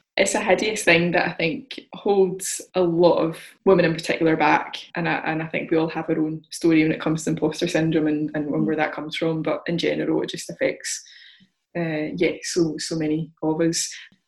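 A woman speaks at a fairly quick pace with a fairly low pitch, a normal speaking voice and fairly even intonation. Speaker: podcast host. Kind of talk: casual interview chat.

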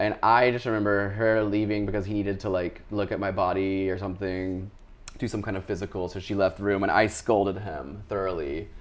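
A man with an American accent, an ordinary speaking voice, a fairly low pitch and a fairly quick pace. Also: fairly even intonation. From US South, Charlotte, North Carolina. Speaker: artist. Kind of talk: casual interview about personal life. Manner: casual, with fillers and laughter.

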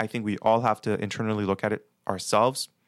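A man with an American accent has an ordinary speaking voice, pitched fairly low and moving at a fairly quick pace. The recording is very clean with a silent background, dry and close with no echo. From Baltimore, Maryland. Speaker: pulmonary physician. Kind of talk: interview.

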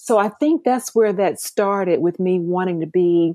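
An unremarkable speaking voice moves at a fairly slow pace with an American accent. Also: woman. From US South, rural Mississippi. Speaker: life coach. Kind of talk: interview.

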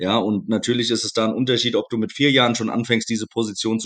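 A man with a plain, everyday voice, a fairly quick pace and fairly even intonation. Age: 40s. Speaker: American football head coach. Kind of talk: podcast interview.

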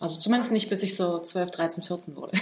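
A woman's somewhat breathy voice at medium pitch, moderate in pace, with ordinary pitch variation. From Berlin, Germany. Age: 30s. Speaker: martial arts and fitness trainer. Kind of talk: casual interview. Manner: halting, many fillers.

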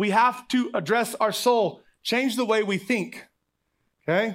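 With an American accent, a man speaks fairly slowly at an extremely high pitch. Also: very clean recording, silent background. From Oklahoma. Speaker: pastor. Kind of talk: sermon. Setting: church with congregation.

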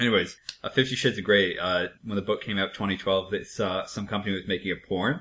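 A man's fairly low voice at a very fast pace, the intonation fairly even. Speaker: podcast host. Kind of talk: casual chat.

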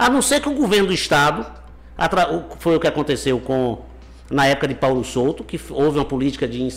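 With noticeable background noise around him, a man speaks at a fairly quick pace. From Bahia, Brazil (Conceição do Coité). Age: 50s. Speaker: mayor. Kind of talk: interview.

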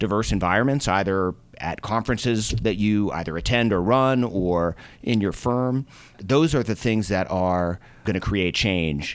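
A man talks at a moderate pace with an American accent, his pitch fairly low. He has a normal speaking voice with ordinary pitch variation. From US Northeast, Boston. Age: middle-aged. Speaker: venture capitalist. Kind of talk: interview.

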